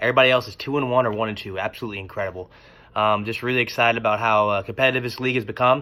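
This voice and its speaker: Using a bright, sharp tone, a man speaks very fast at a medium pitch with fairly even intonation. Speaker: fantasy football league commentator. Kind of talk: casual video commentary. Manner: hesitant, many fillers.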